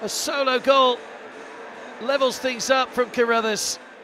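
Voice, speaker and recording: A man speaks in an extremely high, raised and projected voice at a fairly slow pace. His intonation is monotone and flat, with noticeable background noise. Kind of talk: live sports commentary. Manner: urgent, clipped play-by-play delivery.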